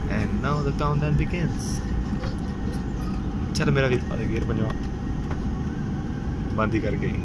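Over loud background noise, a man is heard in a dry sound with no echo. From Punjab. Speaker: airline passenger. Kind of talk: humorous live commentary. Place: plane. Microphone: phone near.

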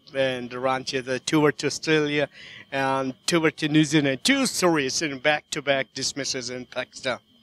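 With fairly even intonation and a fairly high pitch, a man speaks in an unremarkable speaking voice, the sound dry and close with no echo. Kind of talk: cricket commentary.

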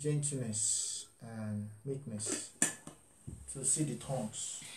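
Over noticeable background noise, a man talks in a somewhat breathy voice with ordinary pitch variation. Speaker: pastor. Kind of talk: sermon. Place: home room. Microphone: webcam.

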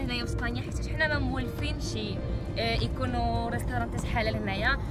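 Loud music plays in the background while a woman talks at a moderate pace. The sound itself is dry, with no echo. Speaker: vlogger. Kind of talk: casual vlog talk. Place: car. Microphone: phone near.

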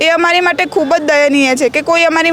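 A woman's voice amid noticeable background noise. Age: young. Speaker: demolition victim. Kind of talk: interview testimony. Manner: animated.

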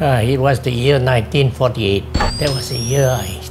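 A man keeps a moderate pace while noticeable background noise goes on around him. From Singapore. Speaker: retired telecoms engineer. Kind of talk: interview answer. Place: home room.

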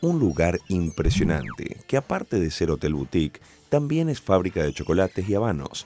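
A man speaks fairly quickly while noticeable background noise runs underneath. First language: Spanish. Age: 30s. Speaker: travel show host. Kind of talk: scripted narration; casual chat.

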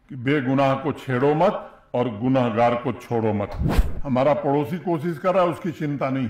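Heard with audible room echo, a man speaks very slowly with ordinary pitch variation. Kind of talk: public speech. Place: hall. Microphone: podium.

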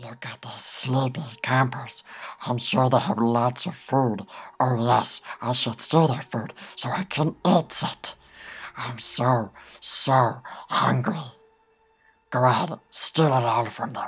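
In a put-on character voice, a man talks at a fairly slow pace and medium pitch, leaving long, frequent pauses. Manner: greedy, wheedling, defiant.

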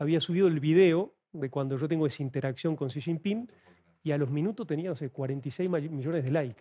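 A man's voice has a dark, mellow tone and a fairly high pitch. He keeps a moderate pace. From Argentina. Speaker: author and China analyst; guest. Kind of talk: TV interview. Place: studio. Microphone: headset.

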